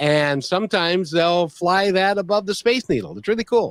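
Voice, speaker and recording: An American accent marks this man's high-pitched voice, which moves at a moderate pace with ordinary pitch variation in a dry, close sound with no echo. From US Pacific Northwest. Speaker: radio show host. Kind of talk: podcast interview talk. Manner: casual, chatty.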